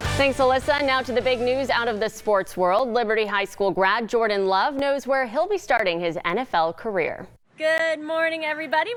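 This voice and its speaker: Noticeable background noise sits behind a woman talking at a fairly quick pace. Her pitch is high and swings very widely. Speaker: TV news anchor. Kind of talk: TV news anchor read. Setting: studio.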